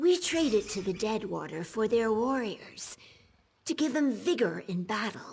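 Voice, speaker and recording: A female-sounding voice performs a put-on character voice at a fairly high pitch and a moderate pace. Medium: video game. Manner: chatty.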